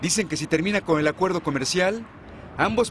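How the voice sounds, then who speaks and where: A man speaks at a fairly quick pace with lively intonation. Noticeable background noise is present. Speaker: news reporter. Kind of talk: news reading.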